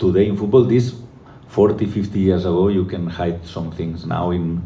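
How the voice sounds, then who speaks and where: A man with a non-native accent speaks at a very deep, low pitch and a moderate pace, with fairly even intonation. Audible room echo and noticeable background noise are present. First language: not English. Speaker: football coach. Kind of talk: press conference. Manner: halting.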